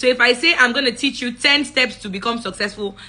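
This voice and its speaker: Noticeable background noise sits behind a woman with a fairly high pitch and ordinary pitch variation. Her tone is animated and her pace fairly quick. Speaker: public speaking coach. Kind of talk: live-stream talk. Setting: livestream.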